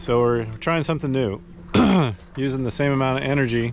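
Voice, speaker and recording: Over noticeable background noise, a man speaks at a moderate pace with ordinary pitch variation, and the sound is dry with no echo. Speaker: sailor vlogger. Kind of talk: casual vlog chat. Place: boat. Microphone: phone near.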